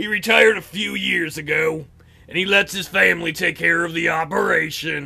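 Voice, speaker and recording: A man puts on a raspy, high-pitched character voice. He keeps a moderate pace. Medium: solo performance. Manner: hesitant, stammering.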